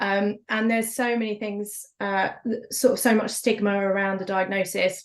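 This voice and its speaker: Over a quiet background, a woman speaks at a moderate pace and medium pitch with monotone, flat intonation. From Essex, England. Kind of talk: panel discussion.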